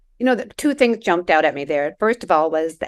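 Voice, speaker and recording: A woman speaks in a normal speaking voice. Her pitch is fairly low and her intonation lively. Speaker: podcast host. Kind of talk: podcast interview host.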